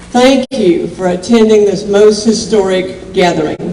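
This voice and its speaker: Amid noticeable background noise and audible room echo, a woman with an Appalachian accent speaks at a fairly high pitch. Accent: Southern Appalachian US. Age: 70s. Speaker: county commission chair. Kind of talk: public speech.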